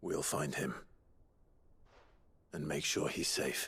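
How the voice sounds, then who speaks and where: Put-on character voice, raspy, at a fairly slow pace. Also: man. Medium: video game.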